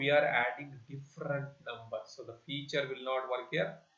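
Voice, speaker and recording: A man with a fairly high voice is heard with audible room echo. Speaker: bank exam coach. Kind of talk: tutorial. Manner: slow, repetitive explanation.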